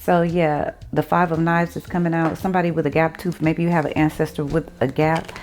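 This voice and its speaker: A woman with a Texan accent speaks at a fairly low pitch in a monotone, flat way. She barely pauses while music plays in the background. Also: fairly quick pace. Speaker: psychic tarot reader. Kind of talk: tarot reading monologue. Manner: casual, slangy.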